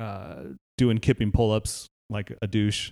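A man with an American accent speaks at a fairly slow pace in a fairly low pitch. The recording is very clean, with a silent background and a dry, close sound free of echo. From Northern California, Palo Alto. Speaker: podcast host, fitness trainer. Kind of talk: casual chat. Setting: home garage gym.

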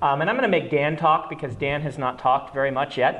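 Noticeable background noise accompanies talking delivered at a fairly quick pace. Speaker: podcast host and fantasy author. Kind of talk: live panel discussion. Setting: stage with audience.

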